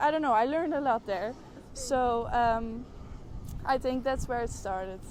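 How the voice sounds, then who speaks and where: A woman with a Dutch accent and a high pitch speaks at a moderate pace. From Netherlands. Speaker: art student. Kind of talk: interview. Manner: halting, many fillers.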